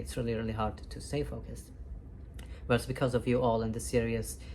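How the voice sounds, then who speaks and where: Audible room echo is present in the recording. The speaker is a woman. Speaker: vlogger. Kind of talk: casual monologue recap. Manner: fast.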